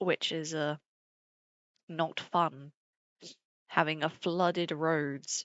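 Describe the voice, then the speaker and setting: A woman with a British accent speaks very slowly in a very deep, low, monotone voice, pausing long and often. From Britain. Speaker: streamer. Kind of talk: casual chat.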